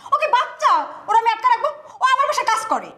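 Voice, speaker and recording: In a put-on character voice, a woman sounds squeaky and extremely high-pitched. She talks at a fairly quick pace with ordinary pitch variation. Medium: short film. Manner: condescending.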